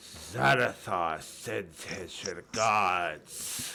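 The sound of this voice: In a put-on character voice, a man growls out a raspy sound at a very deep, low pitch.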